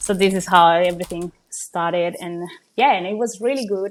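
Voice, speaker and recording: A woman speaks with a Colombian accent at a moderate pace. Her pitch varies in an ordinary way, and the recording is very clean with a silent background. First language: Spanish. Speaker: small business owner. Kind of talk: interview. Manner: hesitant, many fillers.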